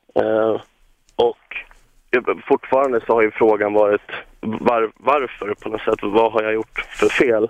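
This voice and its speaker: A man speaks at a fairly slow pace in a flat monotone. He leaves long pauses often. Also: medium pitch for a man. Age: 20s. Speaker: caller. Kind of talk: phone-in call.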